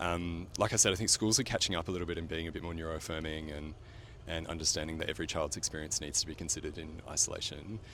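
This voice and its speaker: With an Australian accent, a man speaks very fast in a very deep, low pitch. His intonation stays fairly even. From rural Australia. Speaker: paediatrician. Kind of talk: casual street interview. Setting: outdoors on the street. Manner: hesitant, many fillers.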